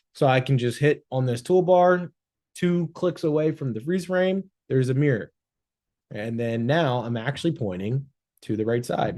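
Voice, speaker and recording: A man with an unremarkable speaking voice uses lively intonation, keeping a medium pitch and a moderate pace. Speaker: social media agency owner. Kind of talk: tutorial. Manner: casual.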